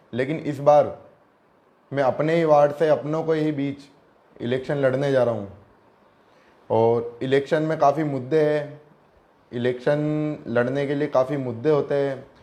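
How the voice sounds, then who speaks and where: Fairly high in pitch, this man speaks with fairly even intonation. Long, frequent pauses break up his delivery. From India, Ajmer (Rajasthan). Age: 20s. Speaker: local election candidate. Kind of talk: interview.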